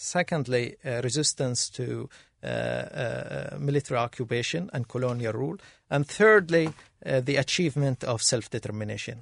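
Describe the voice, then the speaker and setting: This man has an Arabic accent and a medium pitch, with lively intonation. He keeps a moderate pace, and the sound is dry and close, with no echo. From Gaza, Palestine. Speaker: assistant professor. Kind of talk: panel discussion.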